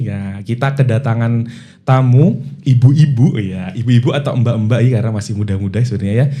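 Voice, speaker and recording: A man speaks at a fairly quick pace in a dark, mellow tone. His voice is somewhat breathy, with ordinary pitch variation. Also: medium pitch for a man. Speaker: podcast host. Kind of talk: casual podcast conversation.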